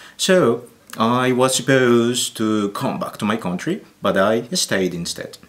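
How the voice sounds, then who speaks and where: Against noticeable background noise, a man talks at a fairly slow pace in a medium pitch with lively intonation. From Colombia. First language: Spanish. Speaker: teacher. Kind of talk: interview answers.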